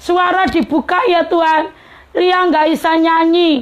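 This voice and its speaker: A woman's shrill, extremely high-pitched voice at a fairly slow pace with ordinary pitch variation. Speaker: preacher. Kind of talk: sermon. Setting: live-streamed broadcast.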